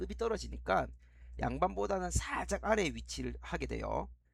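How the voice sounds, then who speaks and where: A man's voice is heard with audible echo from the room. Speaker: history teacher. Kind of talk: lecture. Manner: fast.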